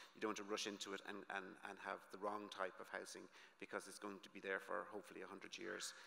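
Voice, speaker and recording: Speaking very fast with an Irish accent, a man has a fairly low pitch, a bright, sharp tone and flat, monotone intonation. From Ireland. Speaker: conference speaker. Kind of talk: conference presentation. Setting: conference stage with audience.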